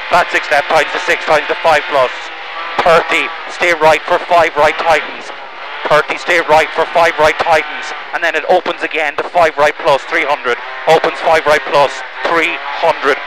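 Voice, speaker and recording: Over noticeable background noise, a man with a fairly high voice speaks at a moderate pace in a monotone, flat way, the sound dry with no echo. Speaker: rally co-driver. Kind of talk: pace note calls. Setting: in rally car during stage. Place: car. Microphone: headset.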